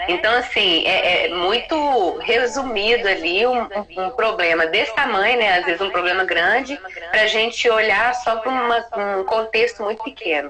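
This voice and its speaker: Amid noticeable background noise, a woman talks at a moderate pace with ordinary pitch variation. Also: fairly high pitch for a woman. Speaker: psychologist, live co-host. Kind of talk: live stream chat. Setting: live video stream. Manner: loud.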